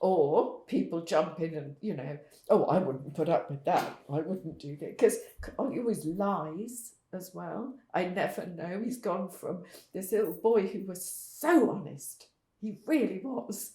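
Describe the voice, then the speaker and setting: Her voice has a dark, mellow tone and is somewhat breathy, with lively intonation and big swings in loudness as this woman speaks. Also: medium pitch for a woman, fairly slow pace. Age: 70s. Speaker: parent of a son with drug problems. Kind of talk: testimony.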